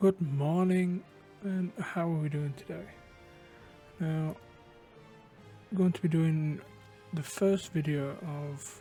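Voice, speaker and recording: Music plays in the background as a man talks at a very slow pace. His intonation stays fairly even. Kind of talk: game tutorial walkthrough. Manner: casual, hesitant.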